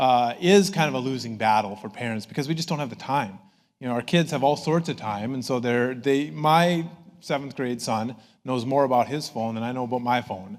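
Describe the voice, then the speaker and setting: A man in an Upper Midwest accent with medium pitch, lively intonation and a fairly quick pace. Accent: Upper Midwest American. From northern Minnesota. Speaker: professor. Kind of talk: public talk.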